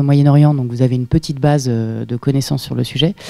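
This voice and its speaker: A woman's very deep, low voice, dark and mellow in tone, at a very fast pace with fairly even intonation. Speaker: PhD researcher, seminar speaker. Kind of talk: lecture. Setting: seminar room with audience. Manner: hesitant, many fillers.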